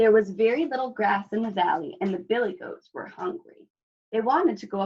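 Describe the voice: Ordinary pitch variation in plain reading aloud, the background quiet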